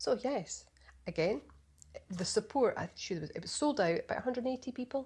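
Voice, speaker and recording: A woman speaks in a somewhat breathy voice. Her intonation is lively. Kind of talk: casual podcast conversation.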